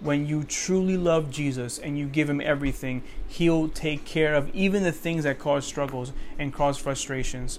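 Pitched fairly high, a man talks at a moderate pace. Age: 30s. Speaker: podcast host and ministry preacher. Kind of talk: devotional podcast monologue.

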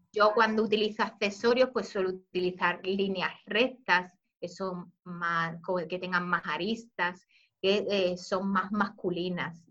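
A woman speaks at a very slow pace in a medium pitch. Her intonation stays fairly even. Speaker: image consultant and YouTuber. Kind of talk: interview. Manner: calm.

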